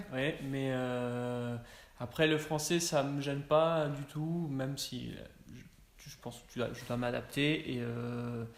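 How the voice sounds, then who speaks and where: A man at medium pitch, very slow, with fairly even intonation, big swings in loudness and audible room echo. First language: Spanish (speaking French). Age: 20s. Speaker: copywriter at ad agency. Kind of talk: interview. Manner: halting.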